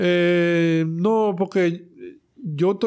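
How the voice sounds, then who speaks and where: This man speaks in a high pitch. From Dominican Republic, Santo Domingo. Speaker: comedian and talent manager. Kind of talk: casual chat. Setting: studio.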